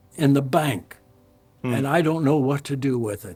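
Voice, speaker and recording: Over music in the background, a man with a fairly high pitch speaks at a moderate pace. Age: 80s+. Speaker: pastor. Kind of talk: storytelling anecdote.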